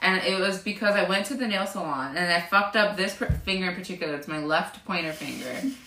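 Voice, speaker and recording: Speaking at a very fast pace, a woman shows ordinary pitch variation. Her voice carries audible room echo amid noticeable background noise. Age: 20s. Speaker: beauty business owner. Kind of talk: casual chat. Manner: animated.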